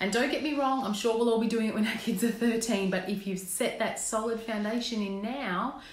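With audible room echo, a woman talks at a fairly quick pace in a fairly high pitch and ordinary pitch variation.

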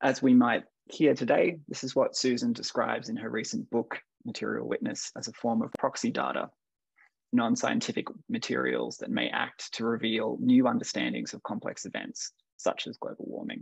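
In an Australian accent, the speaker goes at a moderate pace with big swings in loudness, in a dry sound with no echo and a quiet background. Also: man. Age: 30s. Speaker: curator and art historian, discussion moderator. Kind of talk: panel discussion. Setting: video call. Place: home room. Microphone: video call.

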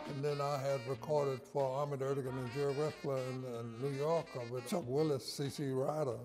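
With an American accent, a man speaks at medium pitch and a moderate pace. Faint music plays in the background. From Norfolk, Virginia, US. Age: 80s+. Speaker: saxophonist. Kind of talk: interview answer. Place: studio.

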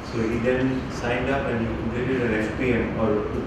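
A man's moderately paced speech carries audible room echo and loud noise in the background. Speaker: professor and seminar host. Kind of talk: seminar introduction and questions. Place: classroom.

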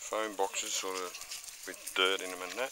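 Over loud background noise, a man speaks in a dry sound with no echo. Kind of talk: casual vlog narration. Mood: calm, mildly disappointed. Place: forest. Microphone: phone near.

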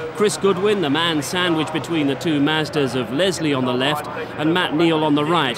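Noticeable background noise sits behind a man's voice. His pitch is fairly high, with ordinary pitch variation. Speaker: highlights narrator. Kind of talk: scripted post-race narration. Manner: measured, composed recap.

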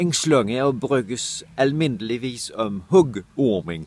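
A man talks at a very slow pace with lively intonation. The sound is dry, with no echo. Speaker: dialect word presenter. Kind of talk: short educational dialect word explainer to camera. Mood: playful, expressive faces. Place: garden. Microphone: phone near.

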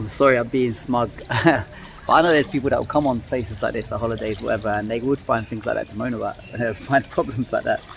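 A man speaks at a very fast pace, with light background noise behind him. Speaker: travel vlogger. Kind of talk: casual vlog chat. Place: garden. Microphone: phone near.

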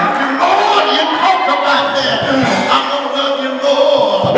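Loud music plays in the background, and the room echo is audible. The speaker shows ordinary pitch variation. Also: man. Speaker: preacher. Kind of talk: sermon. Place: church.

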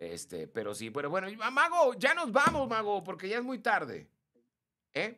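A man with a high voice and a bright, sharp tone projects loudly at a moderate pace. His pitch swings very wide and his loudness swings a lot, over a quiet background. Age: 50s. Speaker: live stream host. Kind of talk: casual chat. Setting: live stream. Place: studio. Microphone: studio mic.

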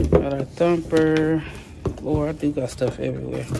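There is noticeable background noise as a woman speaks in a very deep, low voice. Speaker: truck driver vlogger. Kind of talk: casual vlog chat. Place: home room. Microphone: phone near.

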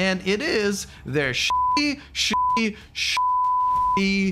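Over light background noise, a man speaks in a raised, projected voice with a bright, sharp tone and very wide pitch swings. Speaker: EV channel host. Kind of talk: commentary. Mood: critical, sarcastic. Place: studio. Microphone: studio mic.

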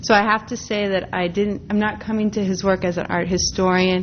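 Over light background noise, a woman with a medium-pitched voice speaks fairly quickly in a monotone, flat way. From US Midwest, Minneapolis, Minnesota. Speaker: art historian and professor; professor. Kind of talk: lecture. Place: hall.

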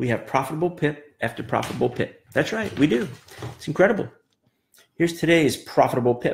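A man with a fairly high pitch and vocal fry sounds animated, with lively intonation. Light background noise is present. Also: fairly quick pace. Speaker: trading coach. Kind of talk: pep talk. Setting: live video. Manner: motivational, emphatic. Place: office. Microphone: webcam.

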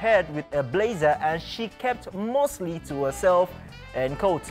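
Speech at a moderate pace over background music. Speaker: TV show presenter. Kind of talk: entertainment news read.

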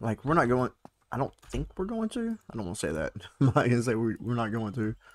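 Medium-pitched male voice, lively intonation and a fairly quick pace. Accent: Texan. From Southeast Texas. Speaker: gaming YouTuber. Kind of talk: casual gameplay commentary.

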